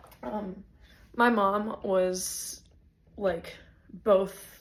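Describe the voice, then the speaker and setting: Heard with audible room echo, a woman speaks in a somewhat breathy voice of medium pitch and ordinary pitch variation. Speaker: vlogger. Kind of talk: casual vlog monologue. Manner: halting, many fillers.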